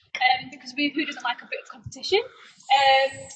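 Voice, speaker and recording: A woman talks with ordinary pitch variation. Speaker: student accommodation staff giving a tour. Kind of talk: live guided property tour. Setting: walking tour, live stream with camera operator. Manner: fast; hesitant with frequent fillers.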